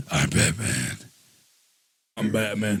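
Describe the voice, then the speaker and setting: A raspy, put-on character voice from a man, fairly low in pitch. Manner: yelling.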